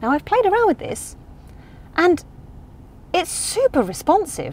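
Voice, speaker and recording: Over light background noise, the woman talks at a moderate pace. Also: dry sound with no echo. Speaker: car reviewer. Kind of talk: review presentation. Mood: playful, humorous. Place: car. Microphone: lapel.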